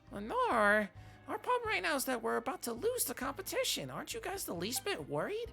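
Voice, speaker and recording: A put-on character voice, female-sounding and high-pitched, goes at a fairly quick pace over clear background noise. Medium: game stream. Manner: refers to self in third person.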